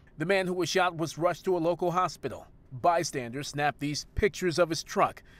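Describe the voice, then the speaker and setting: Speaking at a fairly quick pace, a man has an ordinary speaking voice, fairly high pitch and ordinary pitch variation. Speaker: TV news reporter. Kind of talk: formal news reading, scripted broadcast report. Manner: formal, even-paced, measured and authoritative newsreader delivery.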